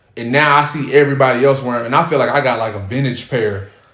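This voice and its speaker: A man talks at a very fast pace with ordinary pitch variation. The room echoes audibly, and background noise is noticeable. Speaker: podcast host. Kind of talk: casual chat.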